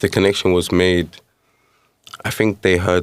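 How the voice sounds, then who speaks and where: A man with a London accent, very deep and low in pitch, fairly quick and monotone with flat intonation. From East London, England (born in Nigeria). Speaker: musician. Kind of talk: interview.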